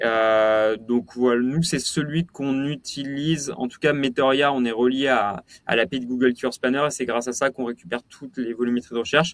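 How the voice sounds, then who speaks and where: A man at a medium pitch and moderate pace, fairly even in intonation with hardly any pauses, in a dry, close sound with no echo. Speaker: company founder presenting a webinar. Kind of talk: webinar Q&A. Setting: online webinar with live chat. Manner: hesitant, many fillers and repetitions.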